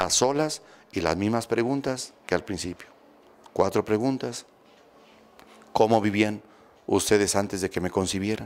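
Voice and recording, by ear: A man speaks at a fairly low pitch with ordinary pitch variation. His pace is fairly slow, broken by long, frequent pauses.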